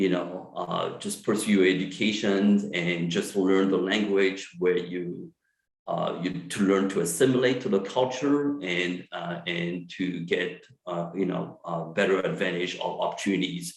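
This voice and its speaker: A man with a French accent speaks at a fairly slow pace with hardly any pauses. His very deep, low pitch shows ordinary variation. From France. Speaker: psychiatrist. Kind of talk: lecture. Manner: halting, many fillers.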